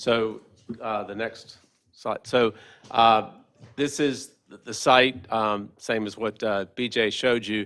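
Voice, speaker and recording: A man with a medium pitch talks at a very slow pace, his intonation fairly even. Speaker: development applicant. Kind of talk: public hearing presentation. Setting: council meeting chamber. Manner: loud.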